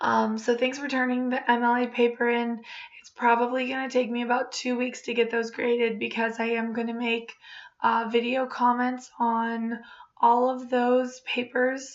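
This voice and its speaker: With audible room echo, a woman talks at a moderate pace in a high pitch, her intonation monotone and flat while her loudness swings widely. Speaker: college English instructor. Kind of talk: recorded course overview lecture. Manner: casual, frequent filler ums.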